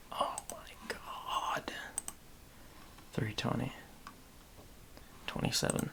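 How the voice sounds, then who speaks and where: Whispering with an American accent at a very slow pace, the speaker leaves long, frequent pauses over noticeable background noise. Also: man. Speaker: podcaster and livestreamer. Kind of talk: casual livestream monologue.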